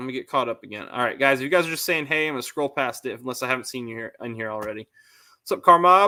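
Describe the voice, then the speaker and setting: A man with an American accent talks at a very fast pace in a bright, sharp tone. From northern Connecticut, US New England. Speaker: car YouTuber. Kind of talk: live stream chat with viewers. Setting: live stream. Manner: casual, halting with repeated words.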